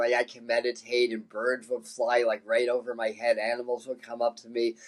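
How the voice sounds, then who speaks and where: The recording of a man with an American accent is dry and close, with no echo. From New York City. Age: 60s. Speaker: psychic medium. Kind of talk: interview, life story. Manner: halting, many fillers and repeats.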